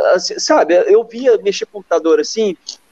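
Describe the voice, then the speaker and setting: The sound is dry and close with no echo. A man speaks fairly slowly with lively intonation. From São Paulo state, Brazil. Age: 40s. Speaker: e-commerce company founder. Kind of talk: interview. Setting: live stream.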